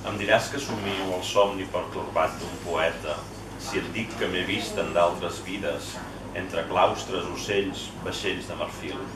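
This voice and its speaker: Speech comes at a very slow pace. Noticeable background noise is present. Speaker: poet reading. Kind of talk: poetry reading and informal literary discussion. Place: bar. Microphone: camera far.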